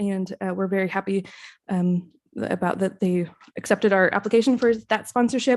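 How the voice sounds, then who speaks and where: A woman speaks at a medium pitch with fairly even intonation. The recording is very clean, with a silent background. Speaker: librarian. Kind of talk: public meeting report. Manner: fast; hesitant, many fillers.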